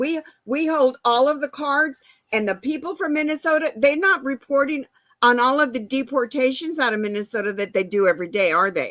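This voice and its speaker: An animated, high-pitched woman with an American accent, fairly quick, with lively intonation. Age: 70s. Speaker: political commentary show co-host. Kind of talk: opinionated casual chat. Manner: animated, emphatic.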